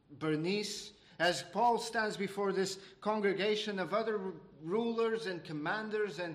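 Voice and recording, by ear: The clip is reading aloud in a natural voice, and the pitch varies in an ordinary way.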